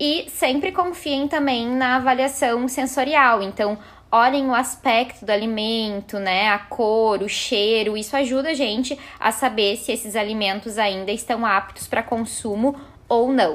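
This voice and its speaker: A woman with an ordinary speaking voice talks at a fairly slow pace and a fairly high pitch, with ordinary pitch variation, on a very clean recording with a silent background. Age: 30s. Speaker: nutritionist. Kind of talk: podcast tips chat.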